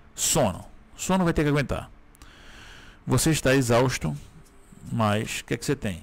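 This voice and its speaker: The voice has vocal fry and lively intonation. It moves at a moderate pace with long, frequent pauses. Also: man, medium pitch for a man. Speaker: gaming YouTuber. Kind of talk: gameplay commentary. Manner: casual, filler-heavy.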